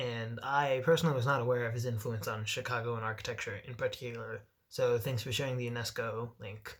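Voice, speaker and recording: A man with a medium-pitched, somewhat breathy voice talks fairly quickly with fairly even intonation and hardly any pauses. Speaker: vlogger. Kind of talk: casual chat. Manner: halting.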